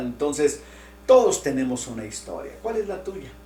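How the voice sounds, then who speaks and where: Very wide pitch swings from a male speaker, plus audible room echo and noticeable background noise. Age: 60s. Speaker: pastor. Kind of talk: sermon. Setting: online church broadcast. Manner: conversational, with many fillers.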